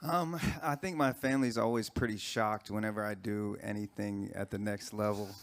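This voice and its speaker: A man with a plain, everyday voice and an American accent speaks fairly quickly at a fairly low pitch with ordinary pitch variation. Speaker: singer. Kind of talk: press conference answer. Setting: press conference.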